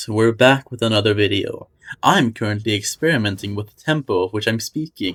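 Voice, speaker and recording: A man with a plain, everyday voice speaks at a moderate pace in a medium pitch, with a dry, close sound and no echo. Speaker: gaming video creator. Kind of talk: gaming tutorial.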